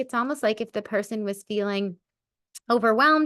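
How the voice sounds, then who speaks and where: An ordinary speaking voice with lively intonation moves at a fairly quick pace. The background is quiet. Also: woman. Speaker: spiritual medium and podcast host. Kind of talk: casual podcast monologue. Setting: recording with a baby in her arms.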